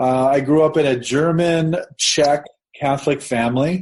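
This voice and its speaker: A man with a Midwestern American accent speaks at a fairly high pitch with fairly even intonation. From US Midwest, southeastern Nebraska. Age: 50s. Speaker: religion professor, author. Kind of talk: interview conversation, personal story.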